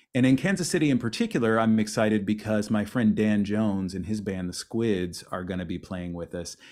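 A man's fairly low, fairly quick American-accented speech with hardly any pauses and ordinary pitch variation, on a very clean recording with a silent background. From US Midwest, Mississippi River Valley (Missouri). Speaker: singer-songwriter. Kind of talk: casual interview chat. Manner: halting, many repetitions.

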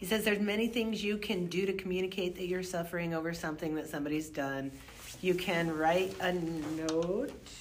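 With audible room echo, a woman talks at a moderate pace and a fairly low pitch. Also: ordinary pitch variation. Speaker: professor. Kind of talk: casual book discussion. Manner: precise, over-enunciated pronunciation; projects strongly.

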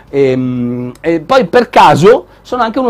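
A man with an animated tone. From northern Italy (Milan, Liguria). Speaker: tech show host. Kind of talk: live show presenting. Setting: studio with live video audience.

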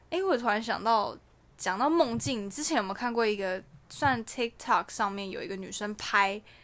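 A woman with a fairly high pitch and an animated tone talks at a moderate pace, with ordinary pitch variation and big swings in loudness. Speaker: podcast co-host. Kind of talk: casual chat.

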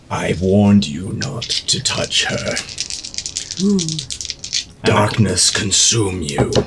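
Over loud background noise, a man uses a hoarse, put-on character voice at a fairly low pitch, with ordinary pitch variation, a very slow pace, and long, frequent pauses. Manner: angry.

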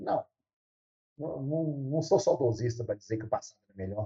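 The man's voice sits at a medium pitch, somewhat breathy, with a dark, mellow tone. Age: 60s. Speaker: university professor. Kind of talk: interview.

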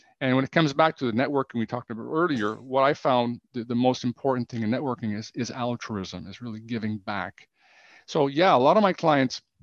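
Here a man with a Canadian accent speaks fairly quickly at a medium pitch with ordinary variation, in an ordinary speaking voice. The sound is dry and close with no echo, over a quiet background. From Canada, Ottawa. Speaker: business coach and author. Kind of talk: interview.

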